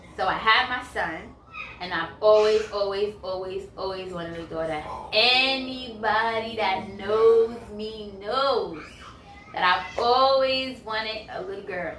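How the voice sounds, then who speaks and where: The speaker has an American accent and ordinary pitch variation, talking at a fairly slow pace with big swings in loudness. Audible room echo and noticeable background noise fill the recording. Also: woman, fairly high pitch for a woman. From New York, the Bronx. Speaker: YouTuber, counselor. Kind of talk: casual Q&A chat. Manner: conversational, filler-heavy.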